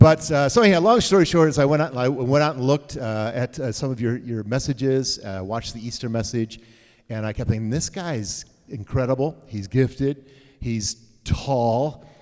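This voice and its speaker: This man speaks at a medium pitch and a moderate pace. His tone is animated, with ordinary pitch variation. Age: 60s. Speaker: pastor. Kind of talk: casual chat.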